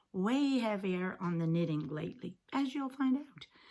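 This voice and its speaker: Her voice is a bit breathy, at a medium pitch. The woman's intonation is lively. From England. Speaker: knitting podcaster. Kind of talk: casual talk to camera.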